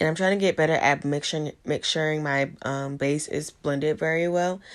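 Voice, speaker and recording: Quiet and very deep, a woman's low-pitched voice shows ordinary pitch variation on a very clean recording with a silent background. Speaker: beauty vlogger. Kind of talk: voice-over makeup tutorial. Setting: home with ring light.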